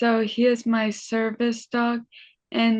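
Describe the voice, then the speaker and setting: With an American accent, a woman speaks at a fairly high pitch. Her voice is somewhat breathy. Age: 30s. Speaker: brain injury survivor and motivational speaker. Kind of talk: interview. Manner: halting.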